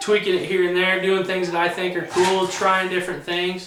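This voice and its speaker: The voice belongs to a man with a high pitch. There is noticeable background noise. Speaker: auctioneer, student teacher. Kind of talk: instructional talk to camera.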